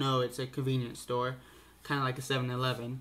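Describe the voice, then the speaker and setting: A man speaks at medium pitch and a fairly quick pace. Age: young. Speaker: vlogger, college student; college student vlogger. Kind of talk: casual vlog monologue. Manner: halting, many fillers. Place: home room. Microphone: webcam.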